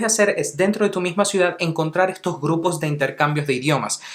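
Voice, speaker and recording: A man talking very fast at a fairly high pitch, ordinary pitch variation, noticeable noise in the background. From Venezuela, Caracas (childhood), teens and adulthood abroad. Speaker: English teacher, language YouTuber. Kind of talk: tutorial.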